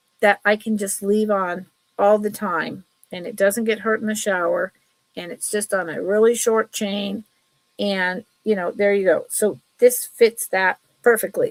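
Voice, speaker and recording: In a dry, close recording with no echo, a woman with an unremarkable speaking voice and medium pitch talks at a fairly slow pace, her intonation fairly even and her loudness swinging widely. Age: 60s. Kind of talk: live sale stream. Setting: live stream. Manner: casual, chatty.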